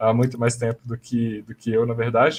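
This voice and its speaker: Music plays in the background as a man speaks. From Brasília, Brazil. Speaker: vegan YouTuber. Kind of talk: casual live-stream panel chat. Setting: online live stream.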